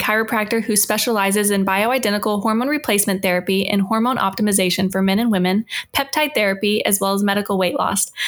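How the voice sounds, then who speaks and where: Amid noticeable background noise, a woman speaks at a very fast pace. Her pitch is fairly high. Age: 20s. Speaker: podcast host. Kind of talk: interview.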